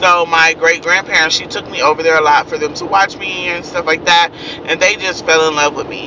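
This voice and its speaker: A woman with an American accent, fairly low in pitch, fairly quick and monotone, flat in intonation, over noticeable background noise. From Kansas, then San Francisco Bay Area. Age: 20s. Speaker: vlogger. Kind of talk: casual monologue to followers.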